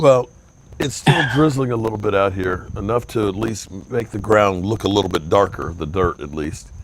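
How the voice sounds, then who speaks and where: Man with fairly low pitch, lively intonation and a moderate pace against noticeable background noise. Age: 60s. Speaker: sports talk show host. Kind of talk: casual chat. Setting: outdoors.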